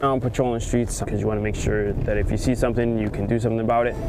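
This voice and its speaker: Over music in the background and audible room echo, a man speaks at a very fast pace in a monotone, flat intonation. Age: 20s. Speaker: police officer. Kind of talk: personal testimony.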